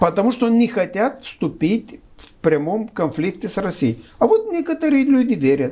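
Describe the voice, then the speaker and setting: A man with a Romanian accent and a high pitch, with very wide pitch swings and big swings in loudness. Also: moderate pace. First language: Romanian (speaking Russian). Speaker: political analyst. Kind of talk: political discussion interview. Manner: hesitant, with filler sounds.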